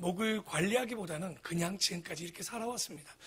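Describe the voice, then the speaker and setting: This man has a bright, sharp tone. He moves along fairly quickly. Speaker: pastor. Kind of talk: sermon. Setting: church.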